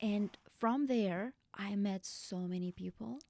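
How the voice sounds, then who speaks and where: With a dark, mellow tone, a woman speaks at a medium pitch with ordinary pitch variation, the sound dry and close with no echo. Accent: Russian. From Russia. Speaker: bachata instructor. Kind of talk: podcast interview.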